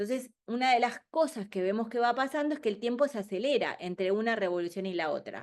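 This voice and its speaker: The speech is fairly quick, with lively intonation. The background is quiet. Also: woman. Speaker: keynote speaker on future trends. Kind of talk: webinar presentation. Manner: fast.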